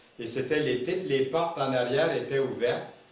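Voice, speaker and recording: A man with a Quebec accent speaks at a moderate pace and fairly high pitch, with ordinary pitch variation. Noticeable background noise and audible room echo surround him. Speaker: visiting preacher. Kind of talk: sermon. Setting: church.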